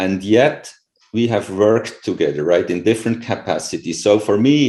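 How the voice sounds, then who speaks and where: In a non-native accent, the voice has a dark, mellow tone, ordinary pitch variation and a fairly slow pace. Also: man. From Switzerland (rural). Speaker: professor. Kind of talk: interview. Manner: halting.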